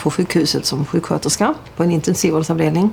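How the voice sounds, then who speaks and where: At a very fast pace, a woman with a Scanian accent speaks at a fairly low pitch. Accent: southern Swedish dialect from Lund. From southern Sweden (Lund), early childhood in Denmark. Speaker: intensive care nurse. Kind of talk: documentary interview.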